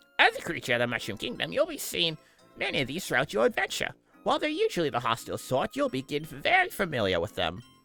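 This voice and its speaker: A man rattles off a put-on character voice at a very fast pace and fairly high pitch, faint music playing behind him. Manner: lecturing, explaining.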